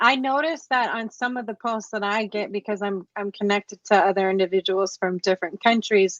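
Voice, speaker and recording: With an American accent, a woman speaks at a moderate pace in an unremarkable speaking voice, with a fairly high pitch and ordinary pitch variation. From United States. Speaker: podcast host. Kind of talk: interview conversation.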